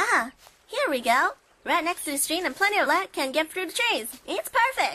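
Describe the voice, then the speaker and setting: A woman does a put-on character voice at an extremely high pitch, swinging very widely up and down at a moderate pace. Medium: audio drama. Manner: dry, wry.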